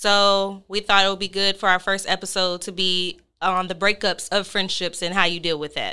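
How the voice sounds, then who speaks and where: Here a woman talks at a medium pitch in an American accent, with a bright, sharp tone. Her intonation is monotone and flat, on a very clean recording with a silent background. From New Orleans. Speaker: podcast host. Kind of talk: casual chat.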